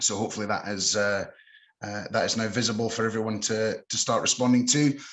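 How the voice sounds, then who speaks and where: At a fairly quick pace, a man talks in a medium pitch. His intonation is monotone and flat. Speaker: webinar host, account manager. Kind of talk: webinar introduction. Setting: online webinar. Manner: halting, many repetitions and fillers.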